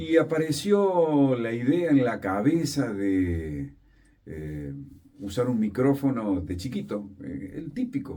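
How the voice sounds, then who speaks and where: Dark and mellow, somewhat breathy, this man's voice moves through very wide pitch swings. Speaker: radio announcer and journalist. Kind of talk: interview answer.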